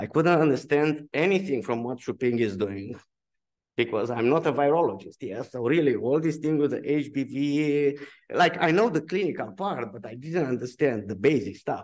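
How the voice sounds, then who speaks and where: At a moderate pace, a man with a Romanian accent talks at a fairly high pitch. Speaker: physician researcher. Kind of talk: symposium talk. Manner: halting.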